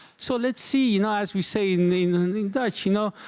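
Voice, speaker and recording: Man with a non-native accent, high pitch for a man, moderate pace, on a very clean recording with a silent background. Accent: non-native English speaker. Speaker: journalist and event moderator. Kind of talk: live event moderation. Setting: stage with live audience. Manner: halting, many fillers.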